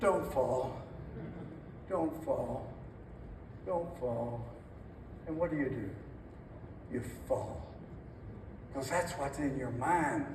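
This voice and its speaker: With noticeable background noise behind him, a man with a fairly high pitch and ordinary pitch variation talks at a very slow pace, pausing long and often. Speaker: former NFL head coach, motivational keynote speaker. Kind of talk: keynote speech. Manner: high-energy, motivational.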